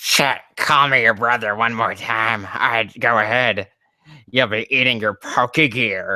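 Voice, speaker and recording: In a put-on character voice, the speaker goes low and raspy at a fairly slow pace. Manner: trying to sound low and threatening.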